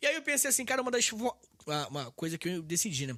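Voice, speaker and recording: A man with a high, bright, sharp voice projects loudly in an animated tone with very wide pitch swings. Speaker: history podcaster and teacher. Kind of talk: casual interview chat. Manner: fast.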